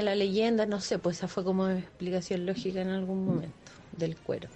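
A woman talks at a medium pitch in a dark, mellow tone. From southern Chile, Los Ángeles. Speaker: listener sending voice message. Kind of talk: recorded voice message.

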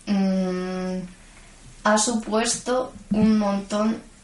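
Fairly even intonation from a woman, with audible room echo. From Madrid, Spain (Vallecas). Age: 20s. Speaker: student and gymnastics coach. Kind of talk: interview.

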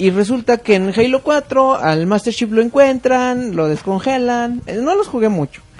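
Against noticeable background noise, a man with an extremely high pitch talks at a fairly slow pace with hardly any pauses. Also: lively intonation. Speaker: podcast host. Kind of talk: casual chat. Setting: live stream. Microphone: faulty mixer audio problems.

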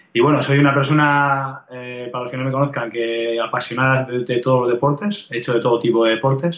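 A man talks at a fairly quick pace with hardly any pauses, his pitch medium. His intonation is fairly even, and there's noticeable background noise. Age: 40s. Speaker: fitness coach and blogger. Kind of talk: interview. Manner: hesitant with fillers.

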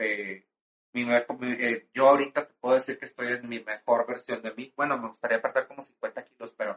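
Speaking at a moderate pace, a man with an ordinary speaking voice and medium pitch keeps his intonation fairly even while his loudness swings widely. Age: 40s. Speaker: drag performer and stage actor. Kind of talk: casual interview chat.

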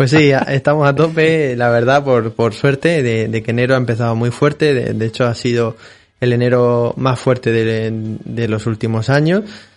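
With music in the background, a man speaks at a moderate pace and medium pitch with fairly even intonation. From Spain, Murcia (Molina de Segura). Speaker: fitness centre owner. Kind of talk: interview. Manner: halting, frequent repetitions.

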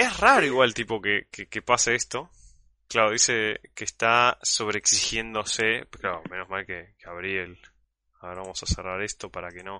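A man with a fairly low pitch talks at a moderate pace with fairly even intonation and big swings in loudness. The sound is dry and close, with no echo. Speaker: podcast host and streamer. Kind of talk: casual live-stream chat. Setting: call.

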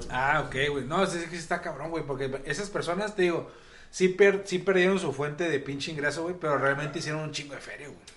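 Amid noticeable background noise and audible room echo, a man talks at a fairly quick pace with a fairly high pitch, fairly even intonation and big swings in loudness. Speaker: podcast co-host. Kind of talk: casual chat.

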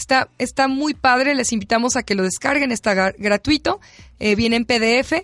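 In a dry, close sound with no echo, a woman speaks at a high pitch with ordinary pitch variation. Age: 30s. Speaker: sexologist co-host. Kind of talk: radio talk show discussion.

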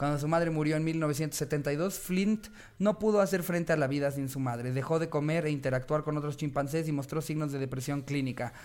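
In a normal speaking voice, a man talks at a fairly quick pace with a fairly high pitch, ordinary pitch variation and hardly any pauses. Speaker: comedy podcast host. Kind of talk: casual chat.

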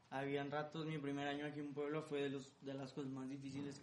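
A man's fairly high voice at a very fast pace, with audible room echo. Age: 20s. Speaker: singer-songwriter and music producer. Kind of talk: interview.

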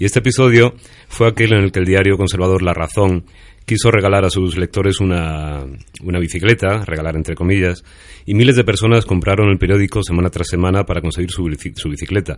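Very fast and fairly even in intonation, a man speaks with a very deep, low pitch. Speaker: guest. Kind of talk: casual chat.

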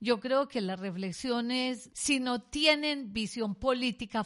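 In a quiet background, a woman talks at a fairly slow pace in an unremarkable speaking voice with ordinary pitch variation. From Colombia. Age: 60s. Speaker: economist and university researcher. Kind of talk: educational interview.

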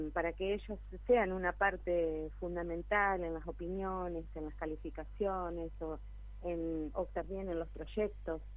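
In an Argentine accent, a woman speaks at a fairly slow pace with audible room echo. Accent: Rioplatense Argentine Spanish. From Argentina, Buenos Aires province town. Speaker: local council candidate and church leader. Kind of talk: radio interview. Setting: phone call.

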